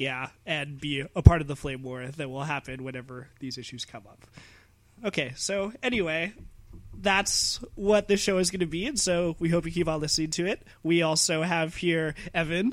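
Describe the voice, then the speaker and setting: A man with a fairly high pitch has an ordinary speaking voice and ordinary pitch variation. He talks at a moderate pace with big swings in loudness. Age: 20s. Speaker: podcast co-host, recent engineering graduate. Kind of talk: casual chat.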